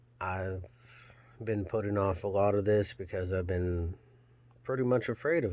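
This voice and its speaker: A soft-spoken man with a very deep, low pitch, at a moderate pace. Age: 30s. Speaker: channel owner, hobby blacksmith vlogger. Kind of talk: casual personal vlog monologue. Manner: halting.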